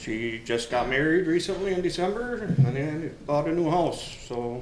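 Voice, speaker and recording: A man with ordinary pitch variation, amid audible room echo and noticeable background noise. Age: 50s. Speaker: election candidate. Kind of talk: candidate forum answer.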